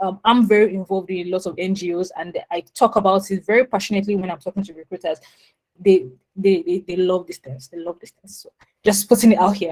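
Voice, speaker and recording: A woman at a medium pitch and a very fast pace, with fairly even intonation and big swings in loudness, in a dry, close sound with no echo. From Nigeria, Lagos. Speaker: product manager. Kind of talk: webinar talk.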